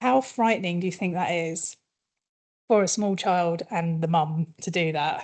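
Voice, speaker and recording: A woman with a British accent speaks in a dark, mellow tone at a fairly low pitch. Her pace is moderate and her pitch varies in an ordinary way. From UK. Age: middle-aged. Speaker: communications consultant. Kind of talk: workshop presentation. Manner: quiet.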